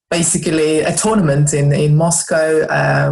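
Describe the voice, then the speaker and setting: A woman with a Russian accent speaks in a very deep, low voice. Her intonation is monotone and flat, with audible room echo. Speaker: snooker club owner and wellness entrepreneur. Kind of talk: podcast interview. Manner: hesitant, many fillers.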